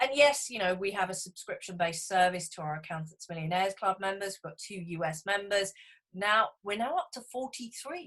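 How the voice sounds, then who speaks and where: A woman with a British accent talks at a fairly quick pace, her loudness swinging widely. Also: medium pitch for a woman, lively intonation. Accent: British, described as cute. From England. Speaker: business coach for accountants. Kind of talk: webinar presentation. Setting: online webinar.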